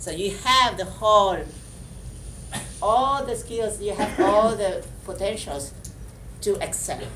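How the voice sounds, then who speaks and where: A woman speaks at a fairly slow pace. There is noticeable background noise and audible room echo. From Vietnam, then Belgium and Spain. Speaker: motivational speaker, model and actress. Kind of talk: motivational talk to a class. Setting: school classroom. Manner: halting, repeats words.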